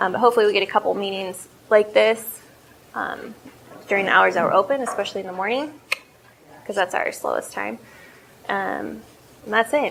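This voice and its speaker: The speaker moves at a fairly quick pace but leaves long, frequent pauses. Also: woman. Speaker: coffee shop owner and entrepreneur. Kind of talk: business presentation Q&A. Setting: cafe with live audience. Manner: loud; casual, hesitant with fillers.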